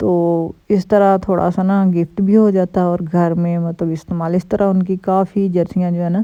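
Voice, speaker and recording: A dark, mellow tone in a monotone, flat intonation at a moderate pace, over a quiet background. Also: woman. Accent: Punjabi. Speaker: vlogger. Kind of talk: casual vlog talk. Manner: chatty, many fillers.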